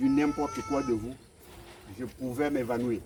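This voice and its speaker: A man delivers his words at a very slow pace and with fairly even intonation while noticeable background noise carries on. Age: 60s. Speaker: evicted resident. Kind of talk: testimony. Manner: halting.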